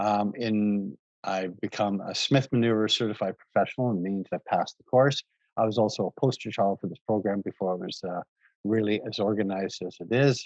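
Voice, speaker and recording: In a plain, everyday voice, a man talks at a fairly quick pace and fairly low pitch, with a dry, close sound and no echo. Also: fairly even intonation. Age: 60s. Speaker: real estate investor and realtor. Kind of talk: webinar presentation.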